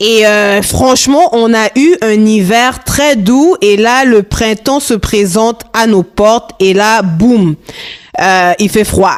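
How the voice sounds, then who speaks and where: A woman with a Congolese accent speaks at a very slow pace and a fairly high pitch. Her intonation is lively and her loudness very even. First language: Lingala (speaking French). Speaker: podcast host. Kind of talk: casual podcast monologue. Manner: animated, upbeat.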